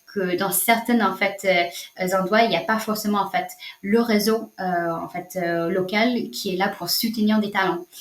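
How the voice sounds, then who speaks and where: A woman speaks slowly-ish, at a fairly slow pace, with a strong non-native accent and a medium pitch. Her intonation is monotone and flat, over noticeable background noise. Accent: strong foreign accent in French. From United States. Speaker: social entrepreneur, nonprofit founder. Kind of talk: interview answer.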